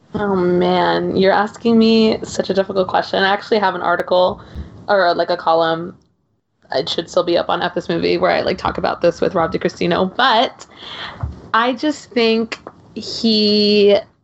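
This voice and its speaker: At a moderate pace, a woman with a medium pitch and ordinary pitch variation speaks in a plain, everyday voice. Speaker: podcaster and film commentator. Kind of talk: casual chat.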